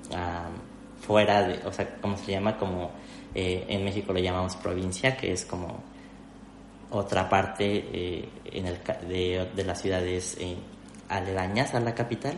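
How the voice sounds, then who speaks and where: A man with a very deep, low pitch talks fairly slowly with long, frequent pauses. His intonation is fairly even, and room echo is audible. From Mexico City. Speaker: video producer and youtuber. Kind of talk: interview conversation.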